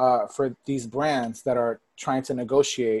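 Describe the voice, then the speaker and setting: A man's plain, everyday voice with an American accent, medium pitch and fairly even intonation. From Texas, Port Arthur near Houston. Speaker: influencer marketing professional. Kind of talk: casual interview chat.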